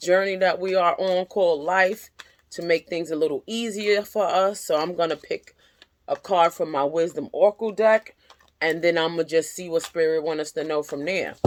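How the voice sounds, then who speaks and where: With a dry, close sound and no echo, a woman with a fairly low pitch talks at a moderate pace and fairly even intonation. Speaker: tarot reader. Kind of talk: tarot reading monologue.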